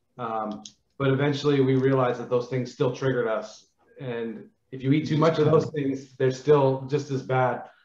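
Somewhat breathy speech moves at a moderate pace with fairly even intonation and audible room echo. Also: man. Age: 40s. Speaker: air force veteran; podcast guest. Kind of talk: interview. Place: home room. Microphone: video call.

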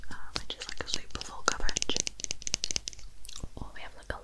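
Soft-spoken, a woman whispers. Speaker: makeup content creator. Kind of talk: soft-spoken makeup roleplay chat. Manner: close soft whisper into mini mic. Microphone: studio mic.

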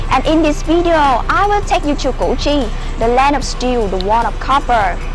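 Clear music plays behind a woman speaking. Her voice is high and her pace moderate. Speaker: travel vlogger. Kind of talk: casual vlog chat. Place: street. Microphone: lapel.

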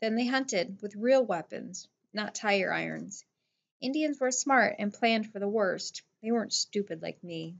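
An unforced reading voice is heard with a quiet background behind it.

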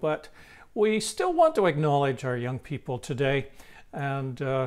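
Ordinary pitch variation from a man, the background quiet. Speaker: minister. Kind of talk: welcome address for an online service. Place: home room. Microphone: lapel.

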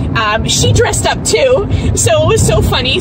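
Loud background noise sits behind a woman speaking at a fairly slow pace, in a dry sound with no echo. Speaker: vlogger. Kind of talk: casual vlog chat. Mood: cheerful, chatty. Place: car. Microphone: phone near.

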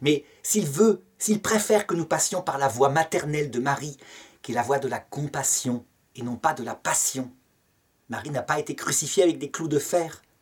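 A man talks at a moderate pace in a somewhat breathy voice against a quiet background. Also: ordinary pitch variation. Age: 50s. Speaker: theology teacher. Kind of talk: lecture. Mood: calm, earnest. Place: home room. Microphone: webcam.

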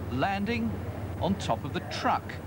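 A man's voice amid loud background noise. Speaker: TV air show commentator. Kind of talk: commentary. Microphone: old recording.

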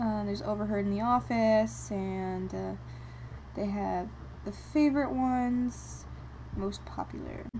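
A woman with an American accent at a fairly slow pace, long, frequent pauses and audible room echo. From New York. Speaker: video blogger. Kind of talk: casual vlog. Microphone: microphone problems.

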